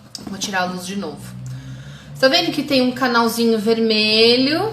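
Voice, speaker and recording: With lively intonation and big swings in loudness, a woman speaks at a moderate pace and a fairly high pitch, amid audible room echo and noticeable background noise. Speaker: holistic therapist teaching about chakras. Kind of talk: live stream lecture. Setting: Instagram live video stream.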